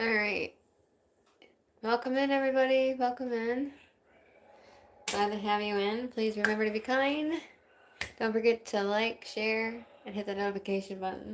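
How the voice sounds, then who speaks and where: A woman with an American accent speaks at a moderate pace and a fairly high pitch, keeping fairly even intonation and leaving long, frequent pauses. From Wisconsin, US Midwest. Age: 30s. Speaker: livestreamer with chronic illness, singer-songwriter. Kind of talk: casual livestream chat. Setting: home livestream.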